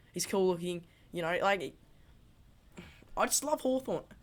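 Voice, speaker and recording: A woman with an Australian accent talks at a fairly quick pace in a medium pitch with very wide pitch swings, on a very clean recording with a silent background. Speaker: footy fan channel host. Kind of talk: casual vlog commentary. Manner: animated; fast.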